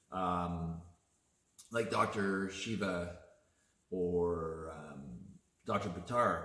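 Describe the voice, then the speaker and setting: A man's relaxed tone amid audible room echo. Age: 50s. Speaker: artist and video chat host. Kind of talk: casual chat. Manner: relaxed, with frequent hesitations.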